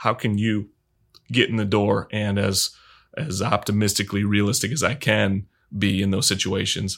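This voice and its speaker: On a very clean recording with a silent background, a man with an American accent speaks in an unremarkable speaking voice, fairly low in pitch, at a moderate pace with fairly even intonation. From Michigan, US Midwest. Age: 30s. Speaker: film director and cinematographer. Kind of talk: casual interview.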